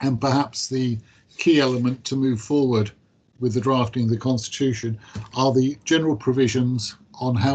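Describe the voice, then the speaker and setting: Somewhat breathy, a man talks at a moderate pace and medium pitch. His intonation stays fairly even. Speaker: council officer. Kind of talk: committee meeting briefing. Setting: council committee meeting. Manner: formal.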